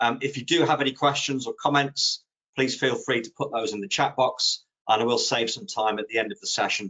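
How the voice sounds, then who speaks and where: Here a man speaks at a very fast pace with a British accent. His intonation is lively. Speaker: social media consultant. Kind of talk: webinar presentation. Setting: online webinar. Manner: conversational with fillers.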